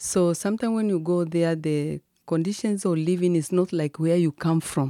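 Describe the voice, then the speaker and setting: A woman with a Tanzanian accent, fairly low pitch, ordinary pitch variation, very even loudness and a moderate pace, in a dry, close sound with no echo. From Tanzania, Kilimanjaro. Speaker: district commissioner and ministry founder. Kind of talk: interview.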